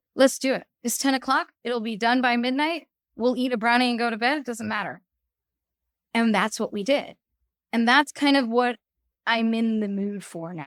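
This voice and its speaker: A woman speaks at a moderate pace and a fairly high pitch with ordinary variation, pausing long and often, in a very clean recording with a silent background and a dry, close sound with no echo. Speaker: podcast guest, parent. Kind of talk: casual chat. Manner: loud; animated.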